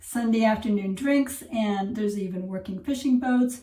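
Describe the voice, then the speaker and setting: Somewhat breathy and dark, mellow in tone, this voice with an American accent shows ordinary pitch variation against audible room echo. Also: woman. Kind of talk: casual vlog narration. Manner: animated.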